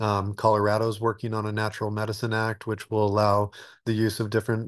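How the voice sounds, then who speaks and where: A man at a fairly low pitch and a fairly quick pace, dry with no echo, over a quiet background. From Alaska. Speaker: retreat center developer. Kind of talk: interview. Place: home room. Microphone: webcam.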